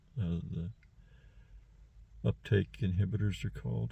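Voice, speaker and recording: A man's very deep, low voice with vocal fry, at a moderate pace. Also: very clean recording, silent background. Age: 60s. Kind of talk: personal monologue. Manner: halting, many fillers.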